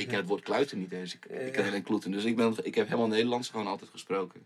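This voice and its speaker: Fairly low male voice with ordinary pitch variation. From Groningen countryside, Netherlands. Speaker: pop musician. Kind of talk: casual chat.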